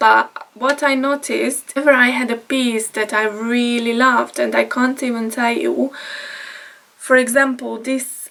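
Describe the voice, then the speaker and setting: A woman with a Hungarian accent at a fairly slow pace, over noticeable background noise. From Hungary. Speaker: vlogger. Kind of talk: casual vlog talk. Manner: halting, with fillers.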